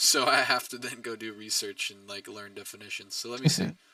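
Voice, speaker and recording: Noticeable background noise sits behind this man. He talks at a fairly quick pace. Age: 30s. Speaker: crypto livestream host. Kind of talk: casual livestream chat.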